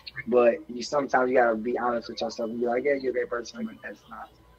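Against noticeable background noise, a man speaks very fast at medium pitch. His intonation is monotone and flat. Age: 30s. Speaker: streamer, bachelor on dating show. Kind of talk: casual chat. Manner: halting.

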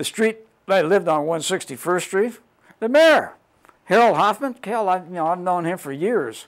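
A man's high voice with lively intonation and an American accent. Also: moderate pace, quiet background. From Southern California. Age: 70s. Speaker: longtime local resident sharing memories; interviewee. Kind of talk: oral history interview. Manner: talkative, rambling storyteller; halting, many filler words. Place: studio. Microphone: lapel.

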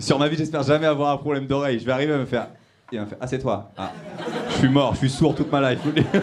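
Over noticeable background noise, a man with a fairly high pitch talks at a very fast pace in an animated, playful tone. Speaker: stand-up comedian. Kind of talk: stand-up comedy improvised with audience members. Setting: comedy club stage with live audience laughing. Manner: animated, teasing crowd work, quick-fire and cheeky; mimics the couple's voices and reactions, punchy and playful. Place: stage. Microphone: handheld.

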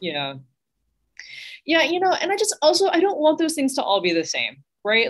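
A woman with an American accent speaks with very wide pitch swings. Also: quiet background. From Texas. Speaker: minister. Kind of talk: panel discussion; panel discussion remarks. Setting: video call. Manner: animated, conversational. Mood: earnest, slightly wry. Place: home room. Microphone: video call.

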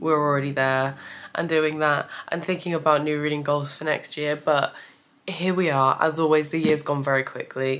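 At a moderate pace, a woman speaks with a very deep, low pitch over noticeable background noise. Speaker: book reviewer. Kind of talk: casual chat.

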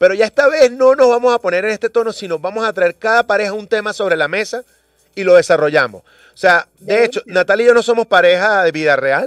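A high-pitched man talking at a very fast pace, with lively intonation, big swings in loudness and dry sound with no echo over a quiet background. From Venezuela. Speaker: radio host. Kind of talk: morning radio show chat. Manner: animated. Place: studio.

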